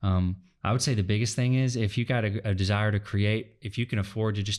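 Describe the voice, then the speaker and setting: Speaking with an American accent, a man talks at a fairly quick pace with fairly low pitch and fairly even intonation on a very clean recording with a silent background. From United States. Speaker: entrepreneur and podcaster. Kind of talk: interview. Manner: fast; halting.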